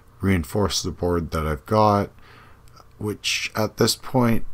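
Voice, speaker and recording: A man speaks at a very slow pace. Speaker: gaming video creator. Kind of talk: gameplay commentary. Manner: casual, hesitant with fillers.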